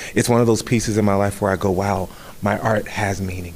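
A man with an American accent has a plain, everyday voice, fairly low in pitch with fairly even intonation. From Southern California, Riverside. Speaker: stage actor. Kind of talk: interview.

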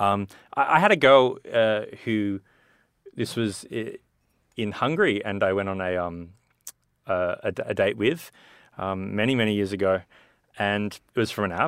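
With an Australian accent, a man speaks at a fairly low pitch and a moderate pace, with ordinary pitch variation. He leaves long, frequent pauses, and the recording is very clean, with a silent background. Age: 30s. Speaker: entrepreneur and movie producer. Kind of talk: casual chat. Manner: halting.

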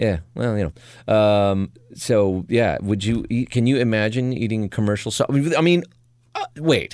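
At a fairly slow pace, a man uses a plain, everyday voice of medium pitch with ordinary pitch variation. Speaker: podcast host. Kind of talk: casual comedic banter. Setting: studio.

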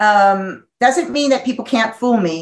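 The speaker is a woman. Her pitch is fairly high. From US Northeast. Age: 50s. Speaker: psychologist and sex therapist. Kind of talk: interview.

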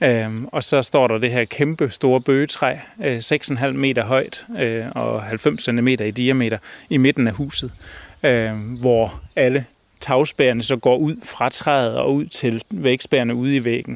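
At a very slow pace, a man with a medium pitch speaks with fairly even intonation. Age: 40s. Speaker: designer and folk high school staff. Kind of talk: interview. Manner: halting, many fillers.

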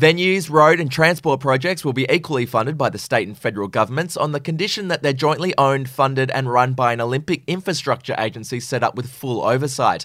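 The speaker, with an Australian accent, races along at a very fast pace with hardly any pauses and ordinary pitch variation. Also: man, fairly high pitch for a man. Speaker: news podcast host. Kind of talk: news reading.

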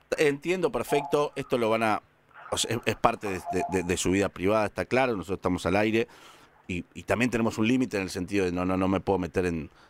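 A man speaks very fast with a Rioplatense accent and a fairly low pitch. His intonation is lively, and the sound is dry and close with no echo. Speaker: radio host. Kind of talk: call-in radio show. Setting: radio studio.

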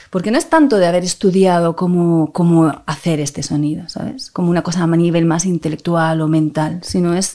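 There is noticeable background noise as a woman with a fairly low pitch speaks with hardly any pauses. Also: fairly even intonation, moderate pace. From Spain, Barcelona (Catalonia). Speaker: violinist. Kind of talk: interview conversation.

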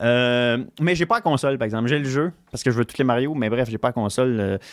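The pace here is fairly quick. It is an unremarkable speaking voice. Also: man. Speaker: comedian and game collector. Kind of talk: casual chat.

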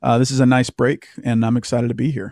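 Dark and mellow in tone, a man with an American accent speaks at a fairly quick pace, dry and close with no echo, in a very clean recording with a silent background. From US South, Louisiana. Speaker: author and former Marine. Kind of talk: interview.

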